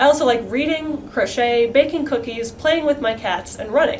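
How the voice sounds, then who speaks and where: Amid noticeable background noise and audible room echo, a woman speaks at a fairly quick pace with a high pitch. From New Mexico. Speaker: math student. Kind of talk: educational talk.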